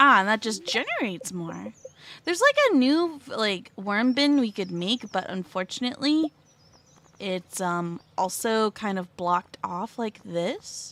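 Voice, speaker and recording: Soft-spoken and fairly slow, a woman talks with a fairly high pitch and a bright, sharp tone. Her pitch swings very widely. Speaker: VTuber game streamer. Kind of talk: casual gaming livestream talk. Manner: quiet, soft-spoken.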